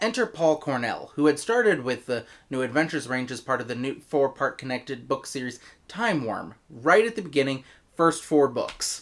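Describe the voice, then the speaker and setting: A man speaks in an ordinary speaking voice with an American accent. His pitch is fairly high, his pace moderate, and the recording very clean with a silent background. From United States. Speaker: audio drama reviewer. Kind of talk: video review.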